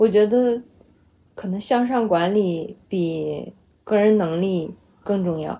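A woman with a medium pitch and ordinary pitch variation speaks at a very slow pace with long, frequent pauses. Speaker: data platform programmer. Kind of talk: casual chat. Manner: loud.

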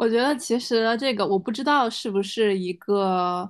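A woman at a moderate pace and fairly high pitch, her pitch varying in an ordinary way, against a quiet background. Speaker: business analyst and startup founder. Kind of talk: casual chat. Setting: video call. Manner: halting.

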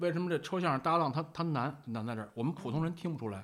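This man talks at a very fast pace with lively intonation. He has a strong Beijing accent. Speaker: Buddhist monk. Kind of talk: casual chat. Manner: vivid storyteller's delivery; fast Beijing banter.

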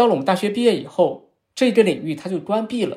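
The speaker is a man with lively intonation. He talks at a fairly quick pace. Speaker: sociology professor. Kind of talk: interview. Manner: explanatory, lecture-like.

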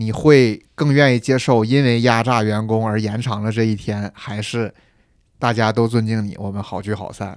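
In a very clean recording with a silent background, a man with an ordinary speaking voice speaks at a moderate pace, with a medium pitch and fairly even intonation. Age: middle-aged. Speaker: internet product manager. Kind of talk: casual chat.

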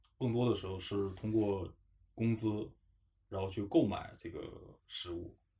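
A man speaks in a dark, mellow, somewhat breathy tone with fairly even intonation. His pace is fairly slow, with long, frequent pauses. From Harbin, northeast China. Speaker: podcast host. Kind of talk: casual chat.

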